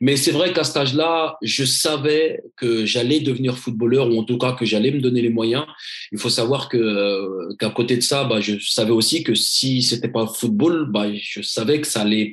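This man holds a medium pitch, moving it in an ordinary way while talking at a moderate pace. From Paris suburbs (Seine-Saint-Denis). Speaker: former pro footballer, motivational speaker. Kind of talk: interview. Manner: halting, many repetitions.

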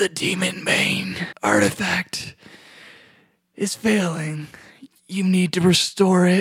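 In a put-on character voice, a female-sounding speaker whispers raspily at a fairly slow pace, with long, frequent pauses. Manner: urgent rough whisper.

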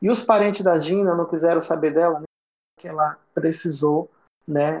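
A man's plain, everyday voice at a fairly high pitch with ordinary pitch variation. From Roraima, Brazil. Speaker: psychologist and LGBT activist. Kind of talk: interview.

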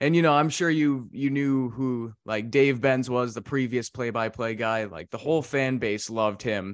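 An ordinary speaking voice talks at a moderate pace with ordinary pitch variation. The background is quiet. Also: man. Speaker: sports podcast host. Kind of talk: casual interview chat.

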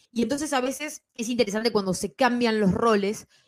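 A woman in a plain, everyday voice, with lively intonation and a fairly quick pace, in a dry, close sound with no echo. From Bolivia and Ecuador. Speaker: comics podcaster and columnist. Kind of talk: casual panel discussion.

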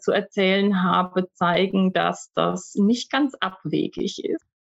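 This woman talks at a very slow pace. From Germany. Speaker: university staff, former German lecturer in Russia. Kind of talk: interview. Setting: home office recording.

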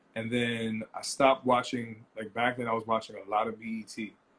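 A man with a New York accent speaks at medium pitch in a monotone, flat intonation. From Long Island, New York. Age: 20s. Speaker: food and streetwear entrepreneur. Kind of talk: casual interview. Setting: Instagram Live.

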